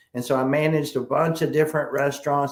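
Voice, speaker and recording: A man speaks in a flat, monotone way with a South Carolina accent, and there is noticeable noise in the background. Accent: Southern US (South Carolina). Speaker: sales trainer. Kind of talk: interview.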